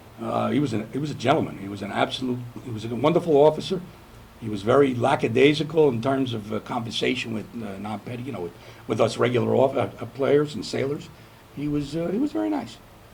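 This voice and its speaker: In a New York accent, a man speaks at a very fast pace and medium pitch, with big swings in loudness. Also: ordinary pitch variation. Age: 70s. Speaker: navy veteran. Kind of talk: oral history interview. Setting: on board a museum ship. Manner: halting.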